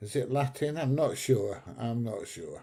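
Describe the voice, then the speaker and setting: On a very clean recording with a silent background, a man with a medium pitch and a dark, mellow tone speaks very slowly and somewhat breathily. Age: 70s. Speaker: YouTube travel vlogger. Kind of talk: casual chat. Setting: live stream from home.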